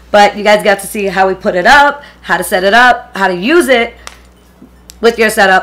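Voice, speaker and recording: Over music in the background, a woman speaks at a medium pitch with ordinary pitch variation and an animated tone. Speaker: beauty YouTuber. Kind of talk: casual vlog tutorial. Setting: home filming setup. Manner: uneven volume, voice goes up and down.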